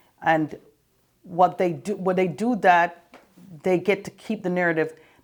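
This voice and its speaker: At a moderate pace, a woman speaks with a slight Jamaican accent and fairly even intonation. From Jamaica, raised in Canada. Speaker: former state politician. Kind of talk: interview.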